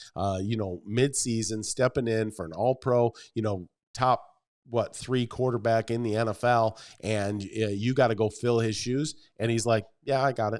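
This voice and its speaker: Here a man uses a normal speaking voice at medium pitch and a moderate pace. His intonation is fairly even, and the recording is very clean with a silent background. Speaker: sports podcast host. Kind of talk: casual chat. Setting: studio.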